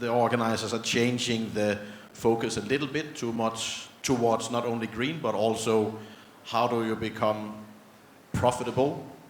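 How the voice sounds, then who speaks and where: With noticeable background noise and audible room echo, a man with a Danish accent and a medium pitch talks at a fairly slow pace. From Denmark. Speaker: panel moderator. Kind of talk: panel discussion.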